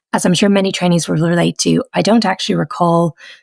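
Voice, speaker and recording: A woman with a Dublin accent at a fairly quick pace, in a dry, close sound with no echo. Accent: Irish (Dublin). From Ireland (Dublin). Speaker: pediatric rheumatologist. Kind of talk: interview. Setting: podcast.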